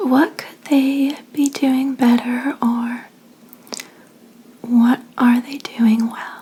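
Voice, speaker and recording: The voice is soft-spoken and very slow, with long, frequent pauses. Noticeable background noise sits underneath. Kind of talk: ASMR tarot reading roleplay as a fortune teller. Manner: soft-spoken, relaxing.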